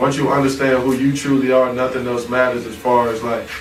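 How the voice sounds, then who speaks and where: A man with an American accent speaks at medium pitch. Audible room echo and noticeable background noise fill the recording. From US Mid-Atlantic, Prince George's County, Maryland (DC area). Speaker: rapper. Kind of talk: casual interview.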